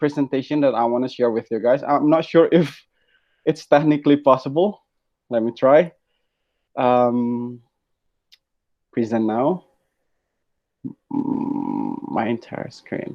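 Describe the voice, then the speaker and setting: A man with an Indonesian accent, fairly high in pitch for a man, with ordinary pitch variation and long, frequent pauses. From Indonesia, North Sumatra. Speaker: guest speaker. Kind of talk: webinar presentation. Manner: fast.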